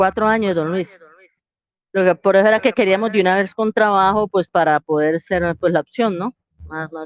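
A woman at medium pitch, a plain, everyday voice, with big swings in loudness. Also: ordinary pitch variation, moderate pace. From Colombia, Cali. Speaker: prospective migrant asking questions. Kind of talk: casual group voice chat.

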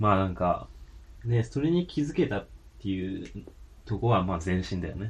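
Speaking at a moderate pace with a fairly low pitch, a man sounds somewhat breathy, uses lively intonation, and leaves long, frequent pauses. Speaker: podcast co-host. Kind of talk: casual chat.

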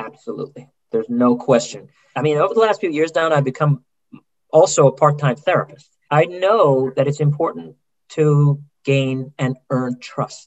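With an ordinary speaking voice, a man talks at a moderate pace, his fairly high pitch moving with ordinary variation. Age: 50s. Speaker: orthopedic surgeon. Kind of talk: interview conversation.

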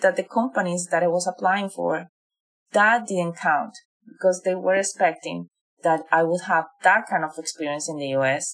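Here a woman speaks in a Spanish accent. Her pitch sits in the medium range. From Colombia. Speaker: digital marketing professional. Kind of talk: interview.

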